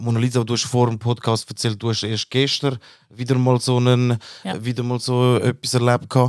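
A man at a moderate pace, monotone and flat in intonation, with a dry, close sound and no echo. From Switzerland, born in Turkey. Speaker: podcast co-host. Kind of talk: casual discussion.

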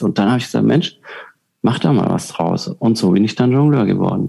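Speaking at a fairly quick pace, a man uses a medium pitch, a dark, mellow tone, vocal fry and lively intonation. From southern Germany. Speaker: professional juggler and keynote speaker. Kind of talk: interview.

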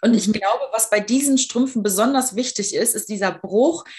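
Fairly high, somewhat breathy speech from a woman, its pitch varying in an ordinary way. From Düsseldorf, western Germany. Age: 30s. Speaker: fashion blogger and patient ambassador. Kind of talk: casual interview chat.

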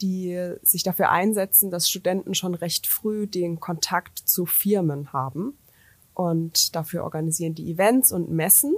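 Speaking with an ordinary speaking voice, a woman keeps a moderate tempo at a medium pitch, her pitch varying in an ordinary way. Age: 30s. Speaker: business coach and startup founder. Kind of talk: interview. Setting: studio in Karlsruhe.

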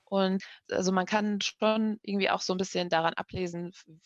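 At a moderate pace, a woman with a fairly low pitch speaks in an ordinary speaking voice, the sound dry and close with no echo over a quiet background. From Germany, grew up after fleeing Kabul at four. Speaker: journalist, head of a broadcaster's language desk. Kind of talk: casual chat.

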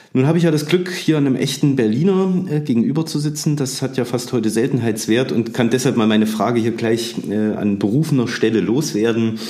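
Over noticeable background noise and audible room echo, a man talks at a fairly quick pace with hardly any pauses, a medium pitch, ordinary pitch variation and very even loudness. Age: 40s. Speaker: museum director and historian. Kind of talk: casual chat.

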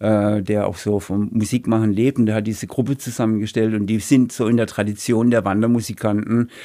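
A man with a dark, mellow tone and fairly low pitch speaks fairly quickly in a monotone, flat intonation with hardly any pauses, recorded very cleanly against a silent background. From Heilbronn area, Baden-Württemberg. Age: 60s. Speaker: retired author and former bouncer. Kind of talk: casual interview.

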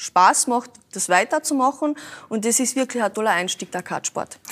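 The sound is dry and close, with no echo. A woman with a Carinthian accent speaks at a fairly high pitch and a moderate pace. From Carinthia, Austria. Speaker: racing driver and florist. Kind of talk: talk show conversation.

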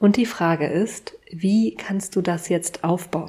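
A woman's somewhat breathy, medium-pitched voice at a very slow pace, with ordinary pitch variation. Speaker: podcast host and business coach. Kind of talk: solo podcast monologue. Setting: sitting at home with candles and tea. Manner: unscripted, conversational.

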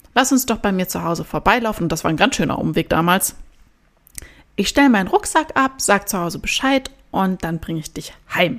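A woman with an unremarkable speaking voice talks fairly quickly at medium pitch with lively intonation. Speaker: podcast host. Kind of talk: solo podcast monologue.

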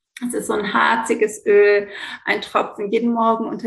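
A woman speaks with a fairly high pitch. Noticeable noise sits in the background. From Greece. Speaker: yoga teacher and essential oil consultant. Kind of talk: interview. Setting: remote recording at home indoors.

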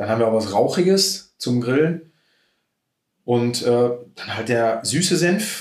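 Lively intonation runs through an unremarkable speaking voice moving at a moderate pace. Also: man. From Germany, Sauerland (Schmallenberg). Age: 30s. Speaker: mustard maker and emergency doctor. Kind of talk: interview.

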